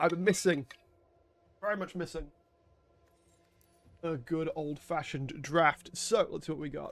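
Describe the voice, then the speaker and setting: Over music in the background, a man with a British accent talks at a moderate pace in a high pitch, leaving long, frequent pauses. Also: ordinary pitch variation. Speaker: gaming streamer. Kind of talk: gameplay commentary.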